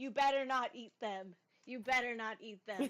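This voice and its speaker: A woman puts on a high-pitched character voice. She speaks at a moderate pace. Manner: threatening warning.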